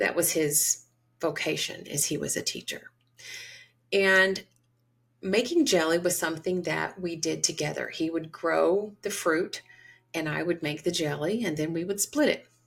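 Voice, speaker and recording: With vocal fry and a fairly low pitch, a woman with an American accent talks at a moderate pace and ordinary pitch variation. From US South, Georgia. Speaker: podcast host and holistic psychiatry provider. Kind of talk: storytelling monologue.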